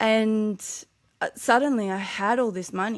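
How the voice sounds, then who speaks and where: The recording is very clean, and the background is silent. The woman speaking has an Australian accent. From Australia, New South Wales south coast. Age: 40s. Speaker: author. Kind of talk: podcast interview. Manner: occasional slurred words when tired.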